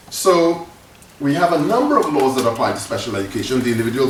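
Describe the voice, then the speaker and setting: A man speaks with an audible room echo. Noticeable background noise is present. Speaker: professor. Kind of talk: lecture. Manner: fast.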